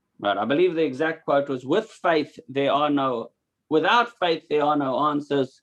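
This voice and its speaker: Moderate pace and ordinary pitch variation from a man, an unremarkable speaking voice at a fairly high pitch. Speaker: religious teacher. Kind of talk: lecture.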